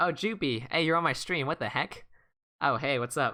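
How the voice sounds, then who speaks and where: A bright, sharp tone carries the voice. The background is silent and the recording very clean. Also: man. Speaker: online board game streamer. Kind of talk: live gameplay stream commentary. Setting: live stream. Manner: fast.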